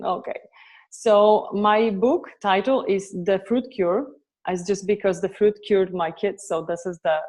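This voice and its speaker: In a Polish accent, the speaker talks at a fairly slow pace with fairly even intonation. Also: woman, medium pitch for a woman. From Poland. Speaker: author and raw food advocate. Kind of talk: interview. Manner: halting.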